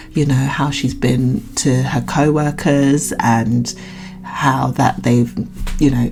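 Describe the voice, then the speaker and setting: A woman speaks fairly slowly in a British accent, her pitch very deep and low. Music plays in the background. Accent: British, drops T's. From Britain. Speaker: YouTube reaction vlogger. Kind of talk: casual commentary vlog. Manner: halting, many fillers and restarts.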